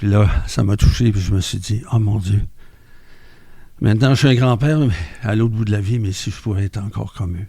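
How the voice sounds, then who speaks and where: A man with a Quebec accent speaks at a moderate pace and a fairly low pitch, with ordinary pitch variation. His voice is somewhat breathy with a dark, mellow tone. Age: 70s. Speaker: mental health centre member. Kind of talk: testimony.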